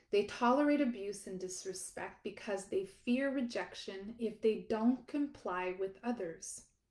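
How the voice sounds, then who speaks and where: In a normal speaking voice, a woman talks at a fairly slow pace. Her pitch is fairly high, with ordinary pitch variation. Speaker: audiobook author and narrator. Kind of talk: self-help audiobook excerpt reading.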